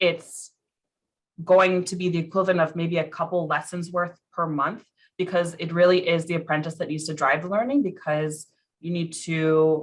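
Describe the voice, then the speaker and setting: A normal speaking voice from a woman, fairly low in pitch, with fairly even intonation at a moderate pace. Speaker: program staff presenter. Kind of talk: virtual information session presentation. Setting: video call.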